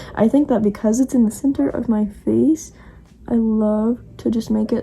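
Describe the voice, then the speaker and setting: A woman's fairly high voice, dark and mellow in tone, somewhat breathy, with ordinary pitch variation. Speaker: vlogger. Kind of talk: casual chat. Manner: fast.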